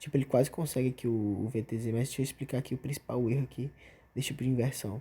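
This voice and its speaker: A man's very fast, somewhat breathy speech in a dark, mellow tone at medium pitch with fairly even intonation. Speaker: gameplay tutorial streamer. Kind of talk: tutorial. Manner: casual slangy.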